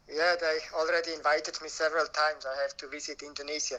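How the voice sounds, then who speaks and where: The speaker talks at a very fast pace with a Swiss German accent and a monotone, flat intonation. Noticeable background noise runs underneath. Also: man. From Switzerland, Alpine village in Graubuenden. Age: 50s. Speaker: denim collector and museum founder. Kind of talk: interview.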